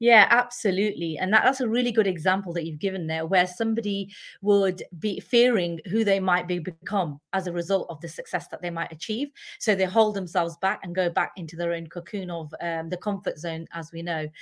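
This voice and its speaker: With a British accent, a woman talks at a fairly quick pace and medium pitch, with ordinary pitch variation and hardly any pauses, on a very clean recording with a silent background. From UK. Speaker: empowerment and leadership coach. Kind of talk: casual interview.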